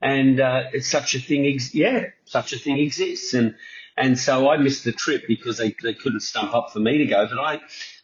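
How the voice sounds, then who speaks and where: Somewhat breathy, a man with a New Zealand accent talks at a moderate pace with ordinary pitch variation. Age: 60s. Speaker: TV producer, radio host and tribute band host. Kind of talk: podcast interview answer. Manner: casual, chatty.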